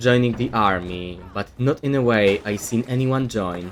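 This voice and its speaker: A man with a non-native accent talks at a medium pitch. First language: not English. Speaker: gaming content creator. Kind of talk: scripted commentary video. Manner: reading from a script.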